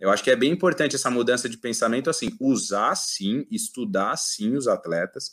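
At a moderate pace and with hardly any pauses, a man of medium pitch speaks with very wide pitch swings on a very clean recording with a silent background. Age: 30s. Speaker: judo athlete. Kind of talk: casual interview.

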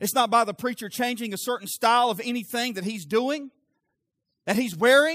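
Animated and bright, sharp in tone, the voice moves at a fairly quick pace with ordinary pitch variation. The recording is very clean with a silent background. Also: man, extremely high pitch for a man. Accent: Southern US. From US South. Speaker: pastor. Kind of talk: sermon, preaching to a live congregation with direct appeals and call-and-response. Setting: church. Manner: animated, fervent, pressing urgently on the congregation; conversational, interjects laughs and asks for 'amen' from the audience.

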